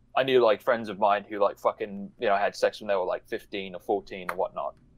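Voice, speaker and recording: With an Australian accent, a man rattles along at a very fast pace. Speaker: online commentator. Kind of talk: casual discussion.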